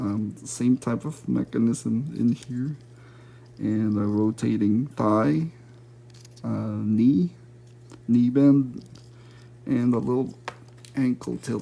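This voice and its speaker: A dark, mellow tone at a very slow pace, with long, frequent pauses and ordinary pitch variation. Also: man, medium pitch for a man. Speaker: toy reviewer. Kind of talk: product review. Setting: at home at night. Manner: hesitant, many fillers. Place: home room. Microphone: phone near.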